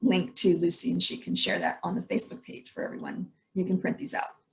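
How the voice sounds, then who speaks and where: At a fairly quick pace, a woman speaks at medium pitch with vocal fry. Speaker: health educator presenting supplement ingredients. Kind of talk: online presentation. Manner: fast.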